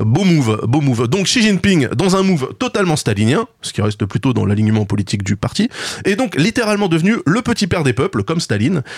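A man talks at a fairly quick pace with music playing behind him. His pitch sits fairly high and swings very widely. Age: 40s. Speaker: video game podcast co-host. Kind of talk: casual chat.

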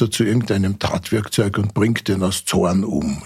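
This man is heard in a very clean recording with a silent background. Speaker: forensic pathologist. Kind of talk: interview.

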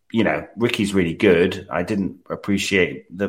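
This man has a very deep, low voice and a British accent, recorded very cleanly against a silent background. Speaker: special guest, tabletop player. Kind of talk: casual chat.

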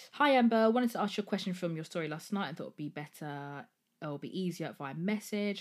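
Fairly quick speech with lively intonation in an English accent, on a very clean recording with a silent background. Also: woman. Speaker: podcast host. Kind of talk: casual solo monologue. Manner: chatty, rambling.

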